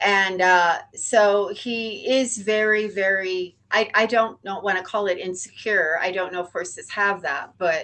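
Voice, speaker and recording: Using an unremarkable speaking voice, a woman talks fairly slowly at a medium pitch with ordinary pitch variation. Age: 60s. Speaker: horse owner. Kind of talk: casual chat.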